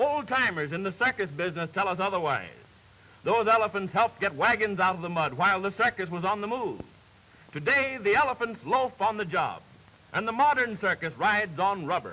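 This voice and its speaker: Raising and projecting his voice, a man speaks at a high pitch and a fairly quick pace. His intonation is lively. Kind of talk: newsreel narration.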